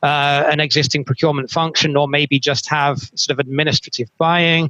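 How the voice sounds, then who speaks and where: In a British accent, the voice has a bright, sharp tone and monotone, flat intonation, with a dry, close sound, no echo and a quiet background. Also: man, fairly high pitch for a man, moderate pace. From UK. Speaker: moderator, procurement consultant. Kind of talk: webinar panel moderation. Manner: hesitant fillers.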